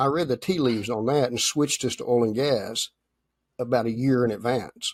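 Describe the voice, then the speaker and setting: A plain, everyday voice, a man at medium pitch with fairly even intonation and a fairly quick pace, in a dry, close sound with no echo. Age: 60s. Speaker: machine shop owner, entrepreneur. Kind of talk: interview.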